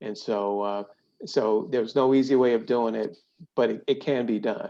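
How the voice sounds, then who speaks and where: This man has a dark, mellow tone, a medium pitch and an American accent. He keeps a moderate pace and fairly even intonation. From Brooklyn, New York; later Cleveland. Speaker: corporate ethics executive. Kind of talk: podcast interview. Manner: hesitant, many fillers and repeats.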